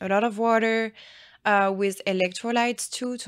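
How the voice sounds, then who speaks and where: On a very clean recording with a silent background, a woman with a French accent talks at a moderate pace in a monotone, flat intonation. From France. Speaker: nurse injector. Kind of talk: casual interview chat.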